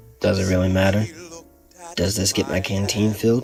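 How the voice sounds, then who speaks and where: Faint music plays in the background. The speaker puts on a character voice at a fairly quick pace. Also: man, fairly low pitch for a man. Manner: terse.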